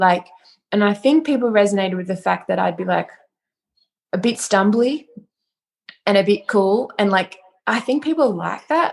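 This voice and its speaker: This woman's lively intonation is broken up by long, frequent pauses. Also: medium pitch for a woman, moderate pace. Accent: Australian. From Australia. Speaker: music producer and DJ. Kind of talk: casual interview chat. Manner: casual, hesitant with fillers.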